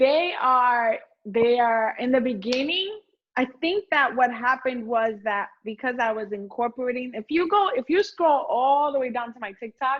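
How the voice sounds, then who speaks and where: Loud and lively in intonation, a woman talks at a moderate pace with a high pitch. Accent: Puerto Rican. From Puerto Rico. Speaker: home cook on social media. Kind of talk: casual chat. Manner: animated.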